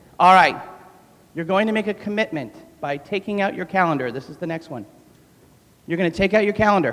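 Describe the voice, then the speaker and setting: A man speaks very fast with an American accent, his pitch varying in an ordinary way and his tone animated. Noticeable background noise runs behind him. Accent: New York accent, comes out when talking fast. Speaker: gym owner and fitness trainer. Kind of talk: motivational talk. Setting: stage with audience.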